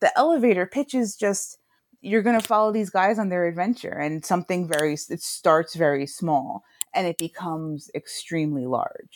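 A woman's ordinary speaking voice at medium pitch, with lively intonation, a moderate pace, and a dry, close sound free of echo. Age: 30s. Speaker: cartoonist. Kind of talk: casual chat.

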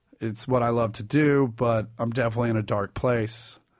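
Here is a man with an unremarkable speaking voice and an American accent. His pitch is medium and his intonation fairly even. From Kansas City, US Midwest. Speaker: stand-up comedian. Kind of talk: casual interview.

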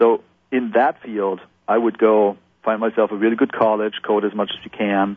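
A man's monotone, flat intonation at a moderate pace. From Germany. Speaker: video game executive producer. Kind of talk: interview.

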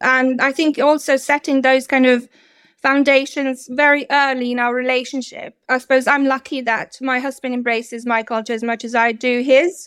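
On a very clean recording with a silent background, a woman speaks at a moderate pace in a high pitch with monotone, flat intonation. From Bosnia and Herzegovina, near Šipovo. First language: Serbian. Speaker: childminder. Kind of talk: casual interview.

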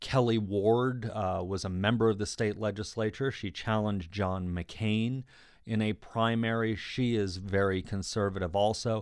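Against a quiet background, a man with a fairly low pitch talks at a moderate pace in a normal speaking voice. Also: fairly even intonation. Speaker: political reporter. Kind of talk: interview.

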